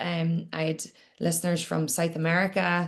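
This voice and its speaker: A fairly low-pitched woman in a Northern Irish accent, at a fairly slow pace. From Northern Ireland, Newcastle, County Down. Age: 30s. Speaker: entrepreneur and podcaster. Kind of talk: interview.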